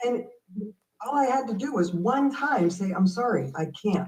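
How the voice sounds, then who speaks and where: Somewhat breathy, a woman speaks at a fairly slow pace. Her intonation is lively. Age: 60s. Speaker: business growth consultant. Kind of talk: live show interview.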